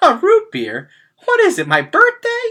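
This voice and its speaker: The put-on character voice is squeaky and extremely high, moving at a moderate speed. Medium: read story.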